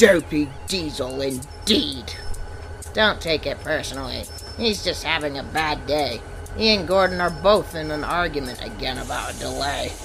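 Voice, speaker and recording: Over loud background noise, a put-on character voice speaks at a middle pitch and a moderate pace. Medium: machinima.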